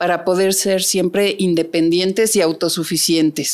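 With a central Mexican accent, a woman speaks at a medium pitch with fairly even intonation over a quiet background. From Mexico City. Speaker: private security executive; interview guest. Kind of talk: interview. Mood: calm, reflective. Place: studio. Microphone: studio mic.

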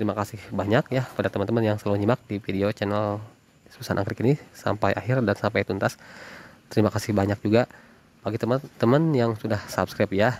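In a dry recording with no echo, a man with a fairly low pitch speaks very fast in an upbeat tone. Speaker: orchid seller. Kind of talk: sales pitch. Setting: video recording of plants shown on camera. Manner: upbeat, fast-paced, repeating price and contact; warm, chatty, addressing viewers as friends. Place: garden. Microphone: phone near.

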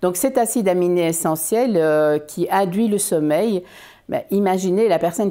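The tone is dark and mellow, delivered at a fairly slow pace with ordinary pitch variation. The background is quiet. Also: woman. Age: 60s. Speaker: business owner presenting health products. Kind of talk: informative video talk. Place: home room.

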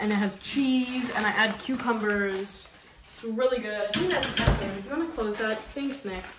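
Over loud background noise, a woman talks at a fairly slow pace with a fairly high pitch. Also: ordinary pitch variation. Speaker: vlogger's daughter. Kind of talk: casual vlog chat. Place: kitchen. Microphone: camera far.

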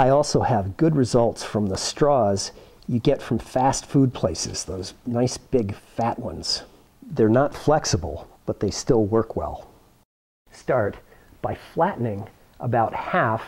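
The man's intonation is lively. He talks at a very slow pace. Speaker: science teacher demonstrator. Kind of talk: tutorial. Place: classroom. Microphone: phone near.

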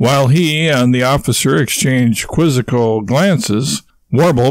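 Ordinary movement in pitch across an unforced reading voice

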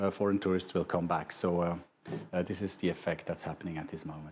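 Very fast and in a monotone, flat intonation, a man talks with a very deep, low pitch over light background noise. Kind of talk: interview answer. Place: studio. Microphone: lapel.

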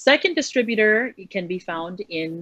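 A woman with a Hawaiian accent at a fairly slow pace, ordinary pitch variation, dry sound with no echo, and a quiet background. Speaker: clothing business owner; guest. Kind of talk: interview. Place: home room. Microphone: video call.

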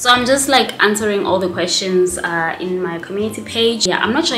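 A fairly quick pace with ordinary pitch variation, audible room echo and light background noise. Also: woman. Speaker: vlogger. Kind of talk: casual vlog chat, Q&A answers. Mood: relaxed, chatty, laughs. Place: home room.

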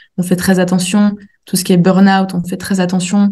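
Somewhat breathy, a woman speaks in a dark, mellow tone at a moderate pace. Her intonation is monotone and flat. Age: 20s. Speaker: naturopath. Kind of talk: interview.

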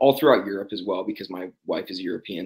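A man with an American accent. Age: 30s. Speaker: gear company founder. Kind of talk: casual chat.

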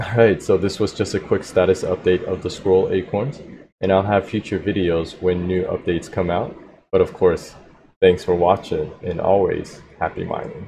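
A man's very deep, low voice, dark and mellow in tone, somewhat breathy, with fairly even intonation and noticeable background noise. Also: moderate pace. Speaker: tech channel host. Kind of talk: tech update commentary. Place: home room. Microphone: studio mic.

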